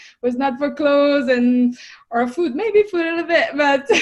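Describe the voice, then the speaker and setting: The speaker is a woman with a French accent. She talks at a moderate pace. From France. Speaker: fitness coach and entrepreneur. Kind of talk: interview podcast.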